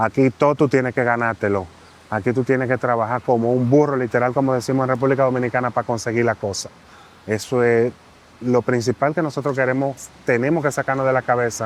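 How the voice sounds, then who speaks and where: Talking at a very fast pace, a man keeps a medium pitch, fairly even intonation and very even loudness. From Dominican Republic. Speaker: immigrant interviewee. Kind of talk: interview.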